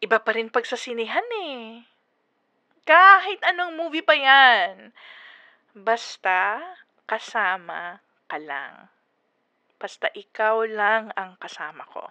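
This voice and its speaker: Soft-spoken and very slow, a woman speaks at a fairly high pitch with a bright, sharp tone, very wide pitch swings, big swings in loudness and long, frequent pauses. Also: dry, close sound with no echo, quiet background. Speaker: ASMR roleplay performer. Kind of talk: ASMR girlfriend roleplay. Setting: phone call. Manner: soft-spoken, gentle.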